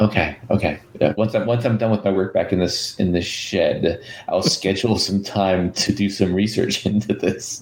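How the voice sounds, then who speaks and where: A man with an American accent speaks at a fairly low pitch with very even loudness and hardly any pauses. Noticeable background noise runs under his voice. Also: fairly even intonation, moderate pace. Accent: Wisconsin accent, mostly hidden unless drunk. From US Midwest, Wisconsin. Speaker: podcast co-host. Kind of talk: casual chat.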